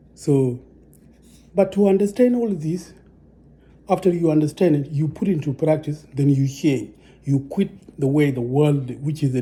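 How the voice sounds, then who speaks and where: A man with a non-native accent speaks at a moderate pace, his pitch fairly high with ordinary variation. His tone is dark and mellow and somewhat breathy. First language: not English. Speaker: religious teacher. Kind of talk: religious teaching monologue. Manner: halting, many repetitions.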